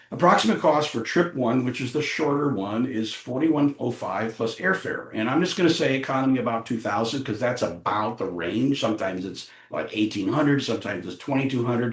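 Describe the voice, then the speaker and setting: A man's lively intonation and fairly quick pace come across with noticeable background noise behind him. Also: medium pitch for a man. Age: 70s. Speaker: charity trip organizer. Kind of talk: team meeting presentation. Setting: meeting with online participants.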